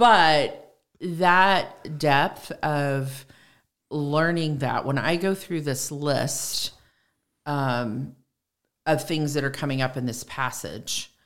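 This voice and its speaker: A woman with an American accent speaks at a very slow pace in a very deep, low pitch, with ordinary pitch variation. The recording is very clean, with a silent background. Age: 60s. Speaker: church member and farmer's wife. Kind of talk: casual chat about scripture.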